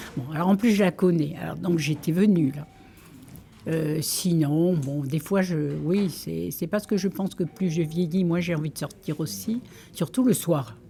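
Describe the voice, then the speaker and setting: Here a woman speaks at fairly low pitch. Noticeable background noise is audible. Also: ordinary pitch variation, fairly slow pace. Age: 80s+. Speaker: library user, retiree. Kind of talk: interview testimony. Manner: hesitant.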